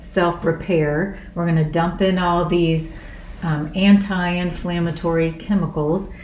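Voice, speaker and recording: Audible room echo surrounds a woman whose fairly low voice keeps a flat, monotone intonation. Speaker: doctor and wellness coach. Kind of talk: casual chat.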